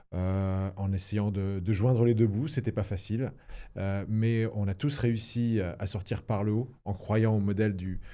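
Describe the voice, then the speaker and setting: A fairly low-pitched man with a dark, mellow tone, fairly even intonation and a fairly slow pace, on a very clean recording with a silent background. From Lorraine, France (Toul, near Nancy). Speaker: former member of parliament. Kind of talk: interview. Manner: hesitant, many fillers.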